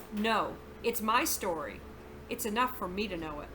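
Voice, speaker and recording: Putting on a gruff character voice at a medium pitch, a woman speaks at a moderate pace over clear background noise. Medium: read story. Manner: gruff, curt, irritable.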